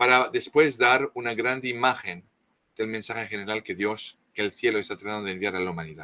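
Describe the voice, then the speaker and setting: A man with a non-native accent speaks fairly quickly in a bright, sharp tone with ordinary pitch variation. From France. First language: French (speaking Spanish). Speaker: author, expert on Marian apparitions. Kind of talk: interview talk. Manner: halting, many false starts.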